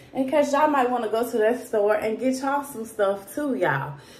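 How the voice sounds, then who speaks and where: A woman with a high-pitched voice talks over audible room echo. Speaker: family vlogger. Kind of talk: casual vlog chat. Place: home room. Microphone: phone near.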